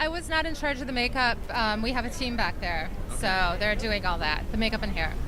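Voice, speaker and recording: A woman's fairly high voice in an American accent, with lively intonation and very even loudness at a fairly quick pace, with audible room echo and noticeable background noise. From Minnesota, rural. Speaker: fashion designer. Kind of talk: interview. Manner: hesitant, many fillers.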